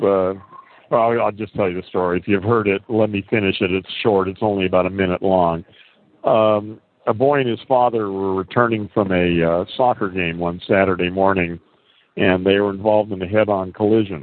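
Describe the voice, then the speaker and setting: An ordinary speaking voice, moderately paced, with fairly even intonation. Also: man, fairly low pitch for a man. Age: 60s. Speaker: audio chat room host. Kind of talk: casual chat.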